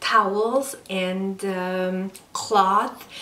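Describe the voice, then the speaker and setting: In a non-native accent, a woman speaks at medium pitch, with audible room echo and noticeable background noise. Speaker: lifestyle vlogger. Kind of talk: casual vlog talk. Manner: slow, with hesitations.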